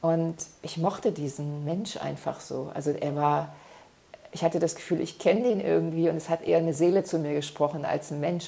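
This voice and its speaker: A woman speaks at a moderate pace in a fairly low voice with vocal fry. Her tone is dark, mellow and warm. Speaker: self-development podcaster. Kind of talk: solo podcast monologue. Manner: warm, frequent filler sounds.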